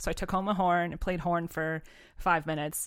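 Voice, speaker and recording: A woman with a plain, everyday voice speaks in an American accent at a moderate pace, her pitch fairly low and her intonation fairly even. The recording is very clean, with a silent background. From western Massachusetts. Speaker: middle school band teacher. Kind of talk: casual chat.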